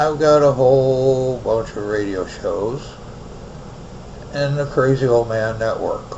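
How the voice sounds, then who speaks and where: Over noticeable background noise and audible room echo, a man at medium pitch talks very slowly with fairly even intonation and long, frequent pauses. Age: 60s. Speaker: online radio host. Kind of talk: personal storytelling monologue. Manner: casual.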